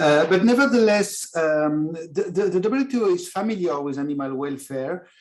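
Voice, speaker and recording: The speaker has a French accent and leaves hardly any pauses. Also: moderate pace. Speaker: international trade official. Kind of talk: panel presentation. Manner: hesitant, many fillers.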